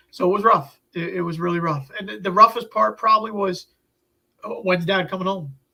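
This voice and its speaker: Speaking at a fairly quick pace with an American accent, the raised, projected voice sounds bright and sharp, with ordinary pitch variation and big swings in loudness. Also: man, high pitch for a man. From Upstate New York. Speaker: health journey storyteller. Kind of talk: interview. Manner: halting.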